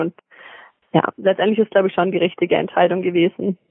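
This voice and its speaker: The woman's intonation stays monotone and flat. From Swabia, Germany (Metzingen). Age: 20s. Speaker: professional track cyclist. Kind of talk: casual interview. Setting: phone call from home.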